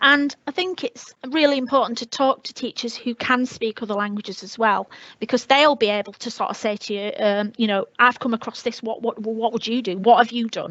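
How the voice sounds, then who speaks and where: With a northern English accent, a woman speaks fairly quickly in a fairly high voice with hardly any pauses, ordinary pitch variation and big swings in loudness. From northern England, Leeds. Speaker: teacher. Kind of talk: webinar talk. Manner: hesitant, many fillers.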